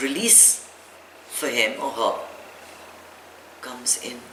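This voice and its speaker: A woman is heard with audible room echo. Noticeable background noise comes through as well. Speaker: meditation teacher. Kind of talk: talk to audience.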